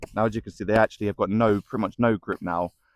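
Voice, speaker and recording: With a British accent and a fairly low pitch, a man speaks on a very clean recording with a silent background and a dry, close sound with no echo. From UK. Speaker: running shoe reviewer. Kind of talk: product review. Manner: casual, hesitant with fillers.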